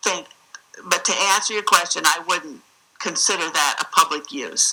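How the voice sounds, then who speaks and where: Noticeable background noise sits behind a woman with an American accent. Her pitch is fairly low and her pace moderate. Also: ordinary pitch variation. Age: 60s. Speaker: state senator testifying as witness. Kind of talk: hearing testimony. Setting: regulatory hearing room.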